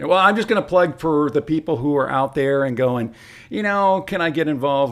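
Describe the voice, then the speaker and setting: Speaking at a fairly quick pace with a Michigan accent, a man uses a fairly high pitch and very wide pitch swings. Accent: Midwestern US (Michigan). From Detroit, Michigan. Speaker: former radio host, trail club president, realtor. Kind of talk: casual interview chat. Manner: animated.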